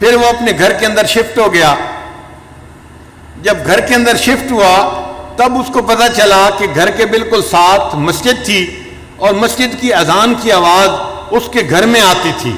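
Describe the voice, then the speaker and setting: Over noticeable background noise, a man talks in a high pitch with very even loudness. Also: ordinary pitch variation. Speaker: Islamic scholar and spiritual leader giving a sermon. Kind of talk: religious sermon (bayan) telling cautionary stories.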